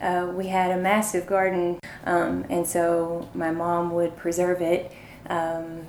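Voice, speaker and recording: A woman with a fairly low pitch speaks in monotone, flat intonation over noticeable background noise. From Eastern Kentucky. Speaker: sociology PhD student and documentary maker. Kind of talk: interview. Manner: hesitant, many fillers.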